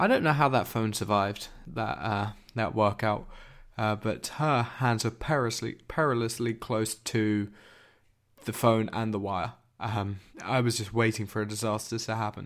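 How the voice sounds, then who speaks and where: Captured in a very clean recording against a silent background, a man with a normal speaking voice talks at a moderate pace and medium pitch, his intonation fairly even. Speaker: podcast co-host. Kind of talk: casual chat about tech and TV.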